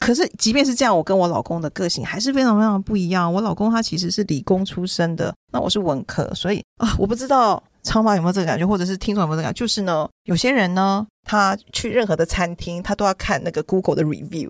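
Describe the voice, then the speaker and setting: Animated and at a very fast pace with hardly any pauses, a woman speaks in a medium pitch with ordinary pitch variation, in a dry, close sound with no echo. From Taiwan. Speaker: children's book author. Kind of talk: casual chat.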